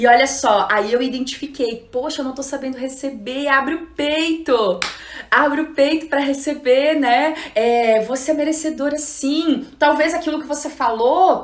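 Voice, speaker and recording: A woman's animated tone, with ordinary pitch variation, comes through audible room echo and noticeable background noise. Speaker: psychologist and trainer giving an online class. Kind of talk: live-streamed lecture. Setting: Instagram live stream.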